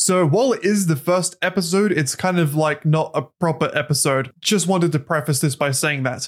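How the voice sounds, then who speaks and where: At a fairly quick pace, a man with an Australian accent talks in a high-pitched voice. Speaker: podcast co-host and YouTuber. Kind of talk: casual chat; scripted intro. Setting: remote recording.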